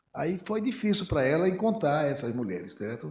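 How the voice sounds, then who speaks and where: A man is talking. The pitch of his voice rises and falls over a very wide range. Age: 60s. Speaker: physician. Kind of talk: panel discussion. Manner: halting.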